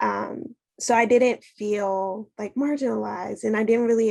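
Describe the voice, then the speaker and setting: Speaking at a moderate pace, a woman with an American accent has a fairly high pitch and an unremarkable speaking voice. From Washington DC, US. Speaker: panelist. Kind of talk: panel discussion.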